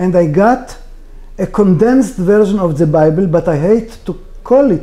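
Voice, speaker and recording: Lively intonation in an Israeli accent. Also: man. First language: Hebrew. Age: 60s. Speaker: author. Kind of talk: interview. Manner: halting.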